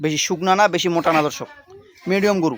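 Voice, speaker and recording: A man with ordinary pitch variation. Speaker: cattle trader and village vlogger. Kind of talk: sales pitch.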